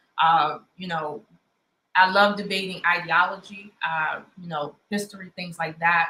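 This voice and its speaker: A woman with a Baltimore accent speaks fairly slowly at a fairly low pitch, in a monotone with flat intonation. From Baltimore, Maryland, US. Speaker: online debate show host. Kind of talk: live debate chat.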